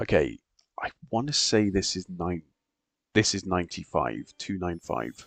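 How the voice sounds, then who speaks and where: A quiet man at a fairly slow pace, in a dry, close sound with no echo. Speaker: gaming streamer. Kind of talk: live gameplay stream chat. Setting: at home at night, others asleep. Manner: quiet, keeping voice down.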